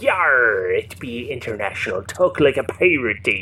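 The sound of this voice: Putting on a character voice, a man speaks at a moderate pace over clear background noise.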